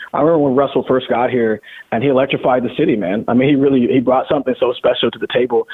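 A man talks at a very fast pace with medium pitch. Noticeable background noise runs under him. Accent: American. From US Pacific Northwest, Seattle. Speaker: rock musician. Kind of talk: casual interview chat.

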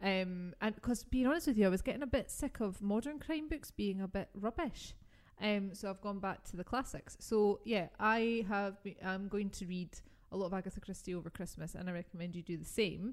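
With a British accent, a woman talks at a fairly quick pace in a medium pitch. Her tone is animated, with ordinary pitch variation. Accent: regional British. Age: 40s. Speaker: podcast host. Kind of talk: casual chat podcast. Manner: giggly, animated.

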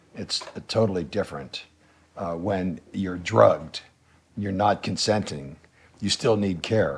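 A man's fairly low voice, with ordinary pitch variation, comes at a fairly slow pace broken by long, frequent pauses, over noticeable background noise. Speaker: guest on homelessness topic. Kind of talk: casual chat.

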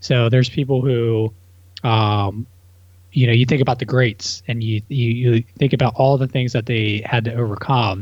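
Against a quiet background, a man talks at a moderate pace and medium pitch, somewhat breathy, with ordinary pitch variation. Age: 30s. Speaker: real estate entrepreneur. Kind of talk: casual chat.

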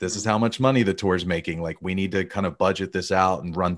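In an Alabama accent, a man with a very deep, low pitch talks at a fairly quick pace with ordinary pitch variation over a quiet background. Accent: Southern US (Alabama). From US South, Alabama. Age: 30s. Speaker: tour manager. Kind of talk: casual interview.

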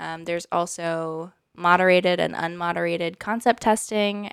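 Heard on a very clean recording with a silent background, a plain, everyday voice moves at a fairly slow pace with ordinary pitch variation. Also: woman. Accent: American. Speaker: UX researcher. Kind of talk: casual chat.

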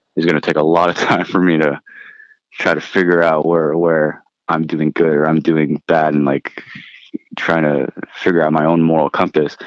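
A man's very deep, low voice at a moderate pace. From Philippines, immigrated to US. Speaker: Air Force veteran and startup founder. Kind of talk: casual interview. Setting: remote call from home with jet noise.

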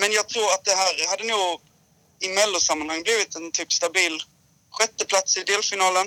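Raising and projecting his voice, a man speaks at a high pitch in a bright, sharp tone, with fairly even intonation, a moderate pace and a dry, close sound with no echo. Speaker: former song contest winner, musician. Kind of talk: casual chat.

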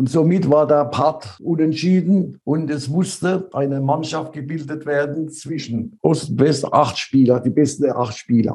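Somewhat breathy, a man's voice sits fairly high in pitch with a dark, mellow tone. He moves at a fairly slow pace with hardly any pauses. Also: ordinary pitch variation. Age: 80s+. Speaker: former athlete and world champion. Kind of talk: interview about his life.

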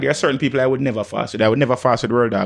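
A man with a Jamaican accent speaks in an animated tone. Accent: Jamaican, Patois-inflected. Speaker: music selector / DJ. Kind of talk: casual chat.

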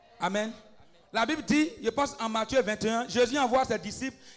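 The man's voice is extremely high in pitch, with ordinary pitch variation. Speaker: preacher and intercessor. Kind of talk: fervent intercessory prayer and preaching. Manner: exhorting, rising intensity.

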